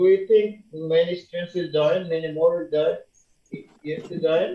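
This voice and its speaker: This man's high-pitched voice moves at a moderate pace in a monotone, flat intonation. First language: Bengali. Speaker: university lecturer. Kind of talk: lecture.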